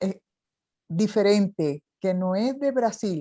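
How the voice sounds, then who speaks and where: A woman speaks with a dark, mellow tone and very wide pitch swings. The sound is dry and close, with no echo. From Chile. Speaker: interviewer. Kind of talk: interview conversation.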